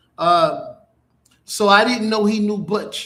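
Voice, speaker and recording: Speaking in a New York accent, the man has a high pitch. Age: 60s. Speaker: internet radio host. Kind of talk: casual monologue.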